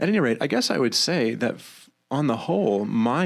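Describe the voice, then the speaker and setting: A normal speaking voice from a man with an American accent, fairly quick, with ordinary pitch variation. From Maine, US. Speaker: pastor and musician. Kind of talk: podcast interview.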